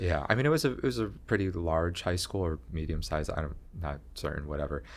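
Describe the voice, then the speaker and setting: With lively intonation and an American accent, the speaker goes at a fairly quick pace amid audible room echo. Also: man, very deep, low pitch for a man. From New York, Rockland County. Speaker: comedian and visual artist. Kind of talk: podcast interview.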